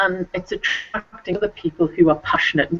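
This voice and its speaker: This woman has a fairly low pitch. She speaks with an English accent. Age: 60s. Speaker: children's author. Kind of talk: video interview.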